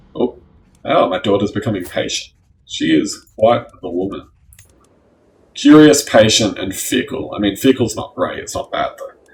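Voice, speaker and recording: The speaker, with an Australian accent, moves at a moderate pace and leaves long, frequent pauses. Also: man, big swings in loudness. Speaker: gaming youtuber. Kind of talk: let's play commentary. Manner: halting, stumbling over words.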